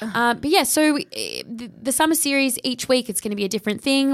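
Speaking with an Australian accent, a woman keeps up a fairly quick pace. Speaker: podcast co-host. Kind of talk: casual chat.

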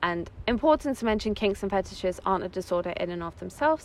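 Talking very fast, a woman with an English accent speaks at medium pitch. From England. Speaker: psychosexology student. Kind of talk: casual chat. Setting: outdoors on a beach.

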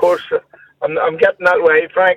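A man talks with a Northern Irish accent. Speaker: caller. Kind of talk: phone-in call. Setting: phone call.

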